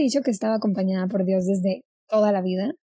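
A woman's somewhat breathy voice with a dark, mellow tone, in a dry, close sound with no echo. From Colombia (Cali). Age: 20s. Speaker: actress. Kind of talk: casual chat.

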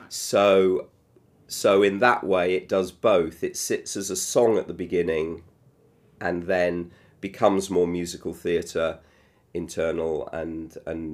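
A man with a British accent speaks at a fairly slow pace in a very deep, low voice. The recording is very clean, with a silent background. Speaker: television producer and musical creator. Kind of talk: interview conversation. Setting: room near theatre. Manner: halting.

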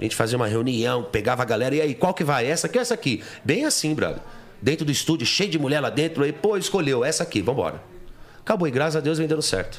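Over noticeable background noise, a man talks at a very fast pace in a fairly high pitch with very wide pitch swings. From São Paulo, East Zone. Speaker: pagode singer. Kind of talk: casual chat.

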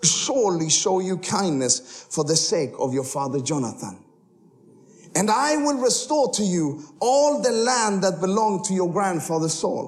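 Here a man speaks with a high pitch and very wide pitch swings. His tone is animated and his pace fairly slow. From Sweden. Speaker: missionary preacher. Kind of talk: sermon ending in fervent, spoken prayer with congregation. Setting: church stage with audience. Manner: fervent, impassioned, earnest; humorous, animated.

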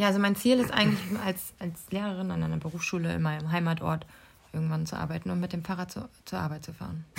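Over noticeable background noise, a woman talks at a very fast pace with a fairly low pitch and ordinary pitch variation. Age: 20s. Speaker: university student, podcast co-host. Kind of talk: casual chat.

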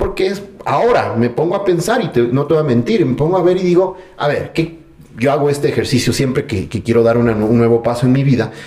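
With lively intonation, a man speaks at a fairly high pitch over noticeable background noise. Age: 30s. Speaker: personal development enthusiast. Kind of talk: casual interview conversation. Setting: at the guest's home.

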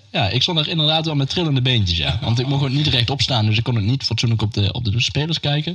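Against noticeable background noise, someone talks at a very fast pace with lively intonation and very even loudness. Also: man, medium pitch for a man. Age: 50s. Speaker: stage crew podcast host. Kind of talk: casual chat.

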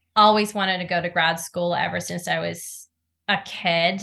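In a monotone, flat delivery at a moderate pace, a woman speaks with a fairly low pitch, a bright, sharp tone and vocal fry. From Norway. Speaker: actress. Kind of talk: interview.

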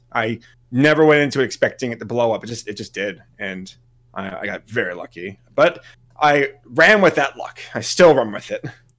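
A man with lively intonation at a moderate pace, a normal speaking voice. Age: 30s. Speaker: YouTube content creator. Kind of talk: casual interview chat.

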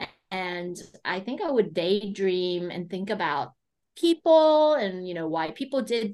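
Over a quiet background, a plain, everyday voice with an American accent speaks at a fairly slow pace. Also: woman. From United States. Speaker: business consultant and coach. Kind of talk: interview.

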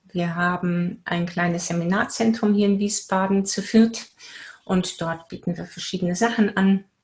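A woman speaks at a fairly slow pace in a fairly low pitch. Her intonation is fairly even and her voice somewhat breathy. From Bavaria, Germany. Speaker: spiritual coach and teacher. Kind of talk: casual interview.

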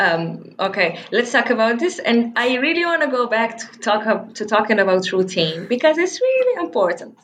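Hardly pausing at all, a woman talks in a fairly high pitch. Her pitch swings very widely. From Morocco, El Jadida. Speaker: sales representative and content creator. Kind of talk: casual interview.

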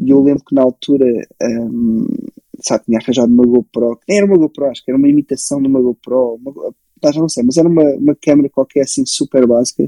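Talking at a very fast pace, a man has a fairly high pitch, a dark, mellow tone and ordinary pitch variation, with a dry, close sound and no echo. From Portugal, moved from Belgium at age 6. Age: 20s. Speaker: photographer and filmmaker. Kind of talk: casual interview chat.

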